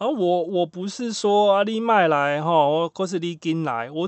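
A man's voice with lively intonation. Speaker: podcast host. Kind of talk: casual monologue. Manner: animated.

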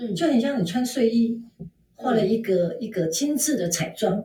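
Her voice is fairly high in pitch yet dark and mellow in tone, somewhat breathy, and this woman uses lively intonation. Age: 50s. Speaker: fashion consultant. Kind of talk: interview.

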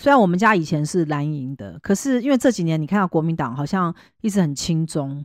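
Delivered at a moderate pace, the speech has very wide pitch swings. The sound is dry and close with no echo, on a very clean recording with a silent background. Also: woman. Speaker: fortune teller and podcast host. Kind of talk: casual chat.

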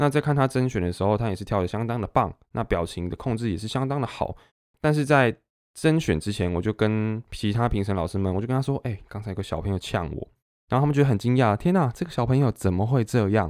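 Very fast speech from a man with lively intonation, on a very clean recording with a silent background. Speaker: podcast host and dance teacher. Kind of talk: casual solo monologue. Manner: halting, many fillers and self-corrections.

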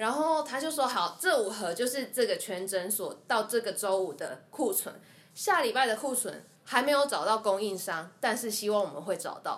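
A woman's fairly high voice swings very widely in pitch at a moderate pace, with noticeable background noise behind it. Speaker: dental assistant. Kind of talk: casual interview chat.

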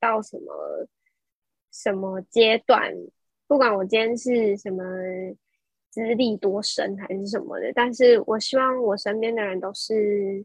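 A woman talks at a fairly slow pace in a fairly high pitch, the sound dry and close with no echo. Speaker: young entrepreneur. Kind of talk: casual interview.

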